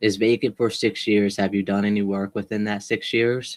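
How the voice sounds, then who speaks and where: Fairly low in pitch, a man speaks at a moderate pace with fairly even intonation. The recording is very clean, with a silent background. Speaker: real estate wholesaler. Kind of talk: sales call. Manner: monotone.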